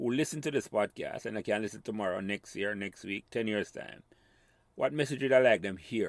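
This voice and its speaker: Lively intonation runs through a plain, everyday voice moving at a moderate pace. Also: man. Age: 60s. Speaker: podcast host. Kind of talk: interview.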